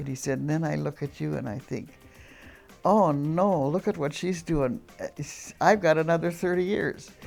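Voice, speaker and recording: Over music in the background, a woman speaks with a very deep, low pitch and ordinary pitch variation. Her pace is moderate, broken by long, frequent pauses. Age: 80s+. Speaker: prison volunteer facilitator. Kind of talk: interview answer.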